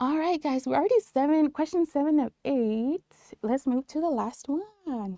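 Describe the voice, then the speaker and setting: In a Spanish accent, a woman talks at a high pitch and moderate pace with lively intonation, in a dry, close sound with no echo. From New Mexico. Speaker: nurse educator. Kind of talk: live-stream tutorial. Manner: animated.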